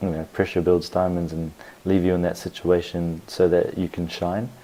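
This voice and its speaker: In a New Zealand accent, a man speaks fairly slowly with a very deep, low pitch and flat, monotone intonation. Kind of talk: casual podcast talk.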